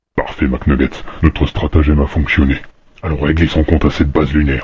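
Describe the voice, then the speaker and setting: A man puts on a cartoonish character voice with a very deep, low pitch. He talks at a fairly quick pace in a monotone, flat intonation. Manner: gruff, deadpan.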